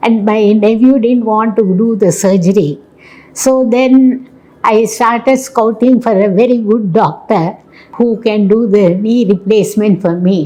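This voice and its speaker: A woman with a fairly high pitch speaks at a fairly slow pace, her loudness very even. Her pitch varies in an ordinary way, and background noise is noticeable. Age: 80s+. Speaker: patient. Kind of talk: testimony.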